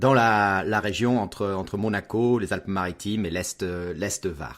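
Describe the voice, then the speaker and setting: Over music in the background, a man talks at a fairly slow pace with a fairly low pitch and ordinary pitch variation. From Alaska, Canada and Brazil until age 12, then France. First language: not French (learned French as third language at 12) (speaking French). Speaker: wedding photographer. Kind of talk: interview. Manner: halting, stammers a bit.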